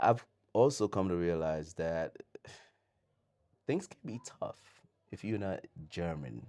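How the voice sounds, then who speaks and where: A man's dark, mellow voice, fairly low in pitch, with lively intonation, big swings in loudness, a very slow pace and long, frequent pauses. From Sierra Leone. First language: Mende. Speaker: podcast guest, immigrant in Germany. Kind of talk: casual interview chat.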